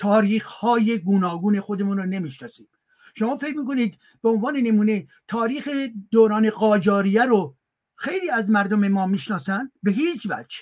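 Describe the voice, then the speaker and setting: Speaking in a high voice with ordinary pitch variation, a man keeps to a moderate pace. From Iran. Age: old. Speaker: academic guest speaker. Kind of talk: lecture-style talk and Q&A. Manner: formal.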